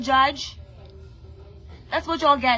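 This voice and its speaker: In an American accent, a woman uses a raised, projected voice. Her pitch is high and her tone bright and sharp. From Brooklyn, New York. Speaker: musician and online personality. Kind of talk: emotional rant to camera.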